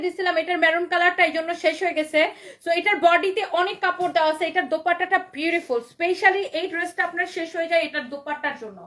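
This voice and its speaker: A woman uses a raised, projected voice at an extremely high pitch, her tone animated, bright and sharp. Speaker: online clothing seller. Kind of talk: live sales stream. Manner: loud.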